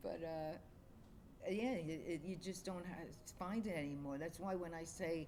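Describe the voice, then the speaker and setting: A moderate pace, an American accent and audible room echo. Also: woman. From New York City, Queens. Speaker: streamer's mother. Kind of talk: casual chat.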